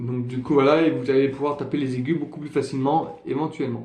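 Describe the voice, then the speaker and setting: A man with a fairly high pitch, in a room with audible echo. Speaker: trumpet teacher. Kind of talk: tutorial. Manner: halting, many fillers.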